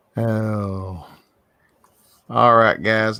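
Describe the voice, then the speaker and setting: A man speaks with a Southern US accent in a very clean recording with a silent background. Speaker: livestreaming artist. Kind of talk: casual chat.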